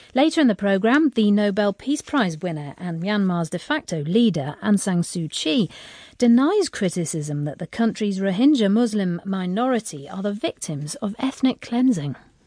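A woman with a British accent speaks at a moderate pace with hardly any pauses, her medium-pitched voice dark and mellow with very wide pitch swings. The background is quiet. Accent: British English, BBC broadcast. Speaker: radio news presenter. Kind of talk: formal newsreading, scripted broadcast headlines delivered crisply. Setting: studio. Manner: formal, measured, authoritative, steady.

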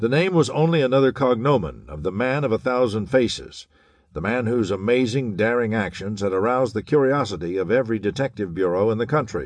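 Against a quiet background, a man at a medium pitch talks fairly quickly in a dramatic tone with lively intonation. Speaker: audiobook narrator. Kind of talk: scripted audiobook narration of a 1930s pulp thriller, dramatic and suspenseful. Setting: studio. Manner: dramatic, urgent, brisk storytelling with tense, hard-boiled emphasis.

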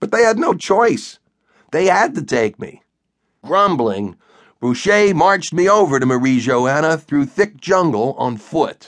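In an animated tone, the speaker goes at a fairly slow pace with very wide pitch swings over a quiet background. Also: man, fairly high pitch for a man. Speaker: audiobook narrator. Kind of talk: scripted audiobook narration, comic military sci-fi. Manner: animated, wisecracking, sarcastic first-person soldier voice.

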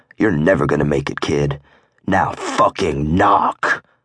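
In a dry, close recording with no echo, a man growls out a put-on character voice. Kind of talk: crude, aggressive. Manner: growling; hostile, menacing.

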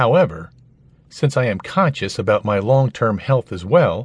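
A man's voice sits at medium pitch, warm in tone and somewhat breathy. His pitch swings very widely. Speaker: audiobook narrator. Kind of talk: nonfiction audiobook reading. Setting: studio. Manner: clear, even, instructional; warm, conversational, persuasive.

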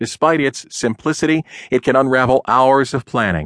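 At a moderate pace, a man with medium pitch has a normal speaking voice, recorded dry and close with no echo against a quiet background. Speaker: audiobook narrator. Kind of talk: audiobook narration, dramatic and tongue-in-cheek. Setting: studio. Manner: wry, theatrical, with comic pauses; conversational, addressing the listener as 'you'.

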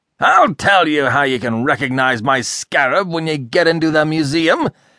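Here a man speaks at a fairly high pitch and a moderate pace, his tone animated yet calm. His voice is bright and sharp against a quiet background. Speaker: audiobook narrator. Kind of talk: audiobook narration of a comic novel, voicing characters in dialogue. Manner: animated, switching between gruff irascible outbursts and calm narration.

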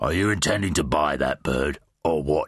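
Using a gruff, put-on character voice, a man talks at a moderate pace with a very deep, low pitch. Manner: impatient, brusque.

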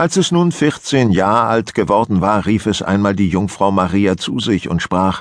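A plain, everyday voice with lively intonation over a quiet background. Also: man. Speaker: audiobook narrator. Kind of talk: audiobook fairy-tale reading, bedtime story telling. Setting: studio. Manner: calm, slow, measured storytelling pace.

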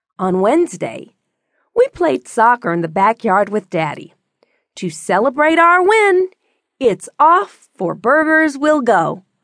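A high-pitched woman's voice, animated and playful in tone, with very wide pitch swings, a fairly slow pace and a dry, close sound with no echo. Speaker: audiobook narrator. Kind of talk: children's audiobook narration, reading aloud a picture-book story. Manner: animated, playful storybook delivery with a repeated refrain.

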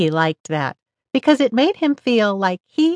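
A woman speaks with a gentle, warm tone. Her pitch swings very widely. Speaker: audiobook narrator. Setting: studio. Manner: animated, playful storyteller pacing with rhythmic repetition and lively dialogue voices; gentle, warm, child-friendly delivery, shifting to a stern mother voice in dialogue.

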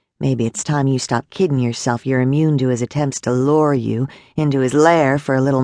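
The delivery is a natural reading voice. Its intonation holds fairly even.

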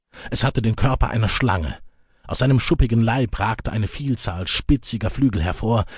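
The words come at a fairly quick pace, marked by vocal fry. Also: man. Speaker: audiobook narrator. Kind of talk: dramatic audiobook narration of epic fantasy. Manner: suspenseful, vivid, building tension in action scenes; measured, storytelling pace with dramatic emphasis.

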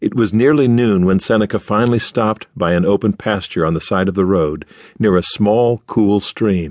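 A man's fairly low-pitched, ordinary speaking voice at very even loudness, with a dry, close sound with no echo and a quiet background. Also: ordinary pitch variation, moderate pace. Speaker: audiobook narrator. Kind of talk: dramatic audiobook narration. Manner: measured, storytelling pace with shifts in voice for characters; serious, formal.

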